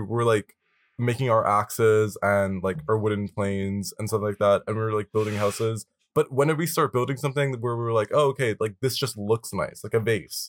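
A man with a normal speaking voice talks at a fairly quick pace and medium pitch, heard in a dry, close sound with no echo on a very clean recording with a silent background. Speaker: podcast co-host. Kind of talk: casual chat. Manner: rambling, filler-heavy, casual.

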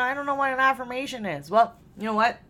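A woman's high-pitched voice in a Canadian accent, with music in the background. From Canada. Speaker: mindset and success coach, podcast host. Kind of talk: solo podcast monologue. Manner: casual, filler-heavy.

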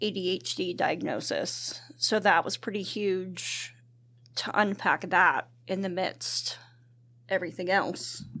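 Very slow speech in an American accent carries vocal fry, a bright, sharp tone and ordinary pitch variation. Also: woman. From US, central Pennsylvania. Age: 40s. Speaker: churchgoer sharing testimony. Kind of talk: casual testimony interview.

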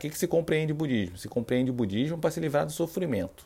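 The man's tone is dark and mellow. Very wide swings mark his pitch. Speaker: Buddhism practitioner and podcaster. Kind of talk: casual explanatory talk with reading aloud from a book. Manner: somewhat serious, not very relaxed.

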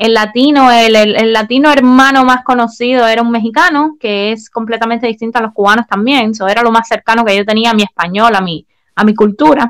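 An ordinary speaking voice, fairly quick with hardly any pauses and fairly even intonation. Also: woman, fairly high pitch for a woman. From Cuba. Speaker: podcast co-host. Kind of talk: casual chat.

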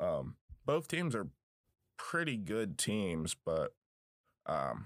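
A man with an American accent and vocal fry, in a very clean recording with a silent background. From Southwest Virginia. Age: 20s. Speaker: sports podcaster, college student. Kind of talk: solo sports podcast monologue.

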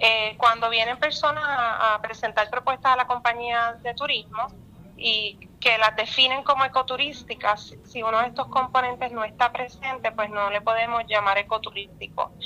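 With a plain, everyday voice, a woman talks at a moderate pace and fairly high pitch, her intonation fairly even but her loudness swinging widely. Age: young. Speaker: tourism official. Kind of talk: radio interview.

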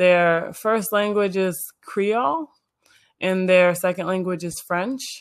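Moving at a very slow pace, a woman speaks at a medium pitch with ordinary pitch variation. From Illinois suburbs. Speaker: model and marketer. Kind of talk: casual interview chat.

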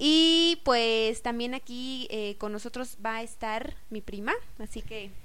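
A woman's fairly high, bright, sharp voice at a very slow pace, with ordinary pitch variation and audible room echo. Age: 20s. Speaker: podcast co-host. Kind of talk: casual podcast introduction.

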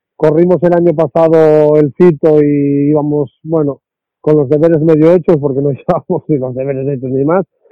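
A man with an ordinary speaking voice talks at a fairly high pitch with fairly even intonation. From Asturias, Spain. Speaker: rally co-driver. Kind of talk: interview.

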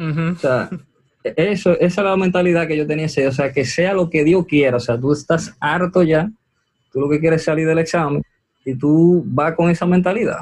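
This man has a normal speaking voice, fairly high in pitch, with ordinary pitch variation at a moderate pace. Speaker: medical student. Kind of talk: interview.

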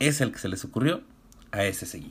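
A man with a Mexican accent speaks at medium pitch and a moderate pace. His somewhat breathy voice sounds animated, with very wide pitch swings. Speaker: podcast host. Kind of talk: casual monologue.

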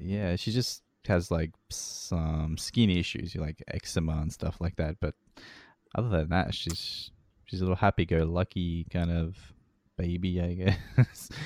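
A man with a very deep, low voice speaks at a fairly slow pace in a relaxed tone with fairly even intonation. The sound is dry and close, with no echo. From Melbourne, Australia. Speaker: radio show creator and host. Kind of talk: casual interview chat. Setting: remote call. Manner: relaxed, laid-back, jokey.

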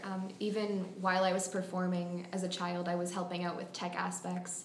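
With an American accent, a woman speaks at a fairly quick pace amid noticeable background noise and audible room echo. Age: young. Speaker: college student and actress. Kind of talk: interview.

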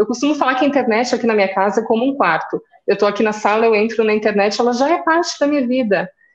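A woman at a very fast pace with a high pitch and lively intonation, in a Rio Grande do Sul accent. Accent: southern Brazilian (gaúcho) accent noticeable. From Rio Grande do Sul, Caxias do Sul. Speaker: journalist, social media strategist. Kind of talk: interview.

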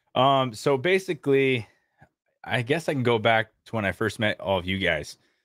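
A man speaks at medium pitch and a moderate pace. His intonation is lively, and the sound is dry and close with no echo. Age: 20s. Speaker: gaming content creator. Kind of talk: casual chat. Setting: home studio with microphone.

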